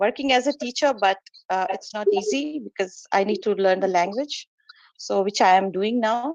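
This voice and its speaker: In an Indian accent, a woman speaks with ordinary pitch variation in a dry, close sound with no echo. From India, Kolkata. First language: Hindi. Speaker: meditation practitioner and student. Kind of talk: testimony in online meeting. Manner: halting.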